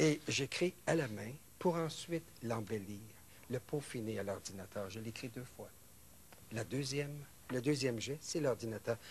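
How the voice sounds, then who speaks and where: Over light background noise, a man with a medium pitch speaks somewhat breathily, with ordinary pitch variation and long, frequent pauses. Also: fairly slow pace. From Quebec. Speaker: novelist; guest. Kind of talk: interview. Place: studio.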